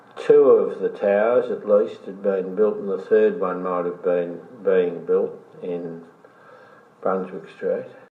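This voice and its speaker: A man speaks at a very slow pace, with big swings in loudness. Background noise is noticeable. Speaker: former mayor and community activist, interviewee. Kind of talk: oral history interview answer.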